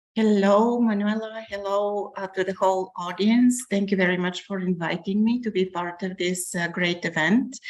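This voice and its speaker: With a normal speaking voice, a woman talks at a medium pitch and moderate pace, with fairly even intonation and hardly any pauses. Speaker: professor. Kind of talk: academic presentation.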